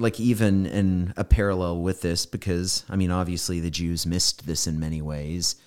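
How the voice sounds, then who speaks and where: A man with a very deep, low pitch and fairly even intonation speaks with hardly any pauses over a very clean recording and silent background. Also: moderate pace. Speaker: pastor. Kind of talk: casual Bible study chat.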